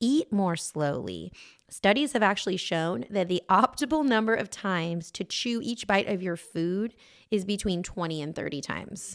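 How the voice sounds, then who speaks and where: A woman's medium-pitched, ordinary speaking voice at a moderate pace. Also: very clean recording, silent background. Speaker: podcast co-host. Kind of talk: casual chat.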